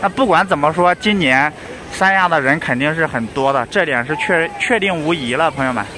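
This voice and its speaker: Noticeable background noise accompanies speech at a moderate pace, with a dry sound and no echo. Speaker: vlogger. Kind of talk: casual talk to camera. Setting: outdoors. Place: beach. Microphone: phone near.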